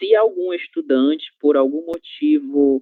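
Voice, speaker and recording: A man speaks at a very slow pace. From Brazil. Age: 20s. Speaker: Portuguese teacher. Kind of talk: online class. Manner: clear, didactic.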